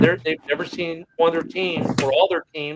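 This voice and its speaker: A high-pitched man with an American accent, dry and close with no echo, and music in the background. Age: 50s. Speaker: sports podcast host. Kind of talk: casual chat.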